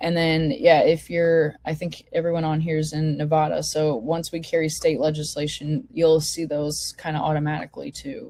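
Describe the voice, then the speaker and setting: A moderate pace and fairly even intonation carry a dark, mellow tone. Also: woman, very deep, low pitch for a woman, hardly any pauses. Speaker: online forum host. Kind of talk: presentation to an online meeting. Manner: casual, filler-heavy.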